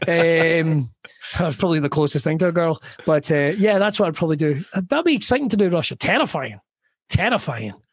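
A man with a west of Scotland accent, high-pitched, with lively intonation, a fairly quick pace and very even loudness. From Scotland, Ayrshire. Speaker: comedian. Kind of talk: casual chat.

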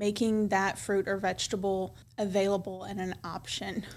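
At a fairly slow pace, a woman speaks with a Tennessee accent. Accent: Southern US (Tennessee). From West Tennessee (Milan). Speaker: pediatrician. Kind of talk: casual interview. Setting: studio.

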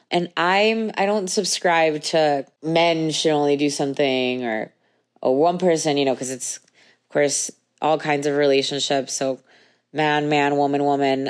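Over a very clean recording with a silent background, a woman speaks with a very deep, low pitch and ordinary pitch variation. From Venezuela. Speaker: intimacy coach and podcast host. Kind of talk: solo podcast monologue, casual confessional. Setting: recording from bed at home.

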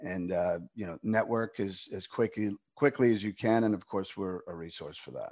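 Against a quiet background, a man speaks at a moderate pace with a fairly low pitch and ordinary pitch variation. He has a plain, everyday voice, with big swings in loudness. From New York. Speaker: business CEO, former banker. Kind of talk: casual interview.

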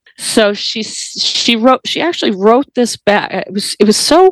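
A woman with an American accent speaks at a medium pitch and moderate pace, the sound dry and close with no echo. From US Midwest and Northeast, Ohio and Maine. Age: 50s. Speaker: podcast guest sharing personal story. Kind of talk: personal testimony in interview. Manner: halting, with many repetitions and fillers.

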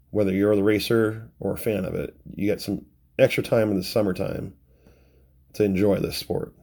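With a dark, mellow tone and fairly low pitch, a man talks at a moderate pace on a very clean recording with a silent background. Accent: Pacific Northwest. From US Pacific Northwest (Renton, near Seattle). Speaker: podcast host, schoolteacher, hydroplane fan. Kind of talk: casual solo podcast monologue.

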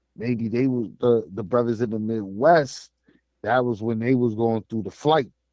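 A man speaks at a moderate pace. His medium-pitched voice keeps a fairly even intonation. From United States. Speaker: podcast co-host. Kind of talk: casual chat.

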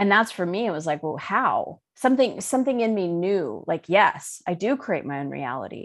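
Medium-pitched woman's voice at a moderate pace, very wide pitch swings, quiet background. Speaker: life coach and spiritual teacher. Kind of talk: interview.

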